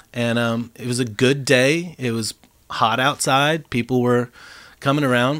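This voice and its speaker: A man's medium-pitched, plain, everyday voice at a fairly slow pace, with fairly even intonation and a very clean recording over a silent background. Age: 40s. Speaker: DJ and producer. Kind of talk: casual chat.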